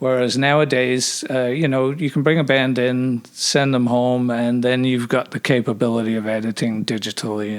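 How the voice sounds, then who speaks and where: With fairly even intonation, a man talks at a medium pitch and a moderate pace. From Quebec, born in England, moved at 13. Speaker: recording engineer. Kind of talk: casual interview chat. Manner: hesitant, many fillers.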